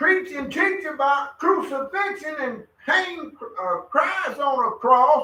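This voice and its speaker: A man projects a raised voice at an extremely high pitch with a bright, sharp tone. He speaks at a very slow pace with lively intonation. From USA. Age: 70s. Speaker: religious study group member. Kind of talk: religious group discussion.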